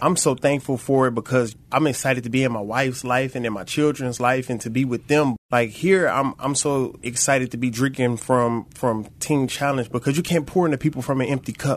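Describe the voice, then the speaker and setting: A man with an American accent talks in a normal speaking voice at medium pitch, with fairly even intonation. His pace is fairly quick, with hardly any pauses. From Flint, Michigan. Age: 30s. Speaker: recovery program student. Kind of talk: testimony. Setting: studio.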